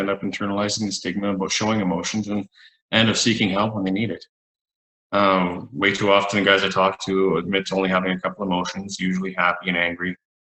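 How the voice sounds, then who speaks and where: A man with a western Canadian accent and a fairly low pitch speaks at a very fast pace in a monotone, flat intonation. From Alberta, Canada. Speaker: psychologist. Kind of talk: panel discussion.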